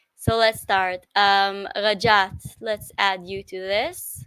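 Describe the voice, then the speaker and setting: A woman with an Israeli accent speaks at medium pitch in a bright, sharp tone. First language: Hebrew. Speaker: livestream host. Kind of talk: casual chat. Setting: live stream. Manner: halting.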